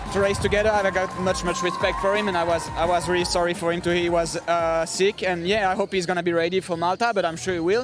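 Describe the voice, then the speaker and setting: A man with a French accent speaks very fast in a high, monotone, flat voice, with hardly any pauses and music in the background. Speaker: triathlete. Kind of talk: post-race interview.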